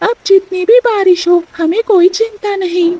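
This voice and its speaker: A squeaky put-on character voice moves at a fairly slow pace with fairly even intonation, recorded dry and close with no echo. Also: woman, extremely high pitch for a woman. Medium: cartoon. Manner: earnest, outspoken.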